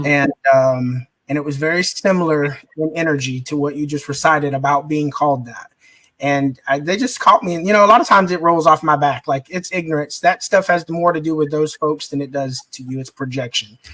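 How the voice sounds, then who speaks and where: An unremarkable speaking voice from a man, fairly high in pitch and fairly quick, with ordinary pitch variation and big swings in loudness, in a dry, close sound without echo. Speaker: podcast host. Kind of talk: casual interview talk. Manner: upbeat.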